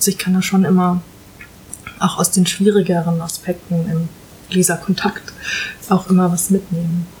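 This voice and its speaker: Noticeable background noise accompanies a woman speaking at a moderate pace. Her intonation is monotone and flat, broken by long, frequent pauses. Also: medium pitch for a woman. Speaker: novelist. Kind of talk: casual chat. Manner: hesitant, many fillers.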